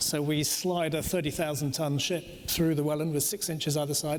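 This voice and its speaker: Over noticeable background noise, a man talks at a moderate pace, his fairly high voice held to fairly even intonation. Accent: British. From Britain and Denmark. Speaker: cruise company executive. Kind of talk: panel discussion.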